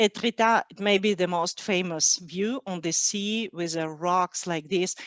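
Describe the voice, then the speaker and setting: With a Russian accent, a woman speaks at a medium pitch with fairly even intonation, the sound dry and close with no echo. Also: quiet background. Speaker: cheesemonger. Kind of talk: webinar presentation. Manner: halting, many fillers.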